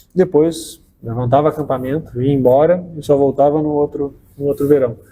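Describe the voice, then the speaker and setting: At a moderate pace, a man speaks with a dark, mellow, somewhat breathy tone and fairly even intonation. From southern Brazil, Porto Alegre. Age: 30s. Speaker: state tourism official. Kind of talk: interview. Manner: halting, many fillers.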